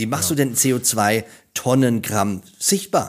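The recording is very clean and the background silent. In it, a man talks at a medium pitch. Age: 50s. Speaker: storytelling coach. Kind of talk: interview.

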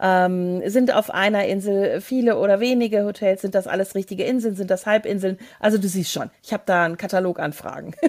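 A woman's ordinary speaking voice, medium in pitch, at a fairly quick pace with hardly any pauses. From Hesse, Germany. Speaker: travel podcast co-host. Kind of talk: casual interview.

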